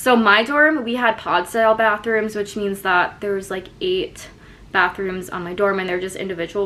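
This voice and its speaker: In an American accent, a woman talks at a moderate pace and medium pitch with ordinary pitch variation, an ordinary speaking voice. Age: 20s. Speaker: college student vlogger. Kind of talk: casual tutorial vlog.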